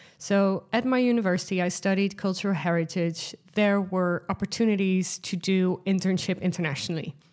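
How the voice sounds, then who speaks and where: With a Dutch accent, a woman speaks at medium pitch and a fairly quick pace, barely pausing, her intonation fairly even and her loudness very even. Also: very clean recording, silent background. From Netherlands. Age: 30s. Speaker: podcast host. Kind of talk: solo podcast monologue. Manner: casual, frequent laughs and fillers.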